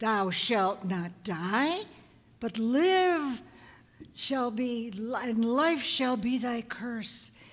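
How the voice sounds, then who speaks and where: A female-sounding put-on character voice with a fairly high pitch speaks at a very slow pace. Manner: solemn, commanding.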